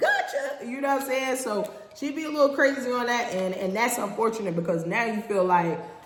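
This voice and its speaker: Lively intonation marks a woman speaking at a moderate pace, with audible room echo and noticeable background noise. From North New Jersey. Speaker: podcast host. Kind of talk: casual monologue. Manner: animated.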